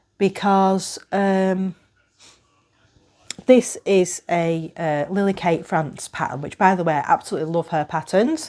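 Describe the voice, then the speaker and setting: This woman has a British accent and a dark, mellow tone. Her pitch is medium with ordinary pitch variation. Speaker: knitting podcaster. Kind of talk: casual talk to camera.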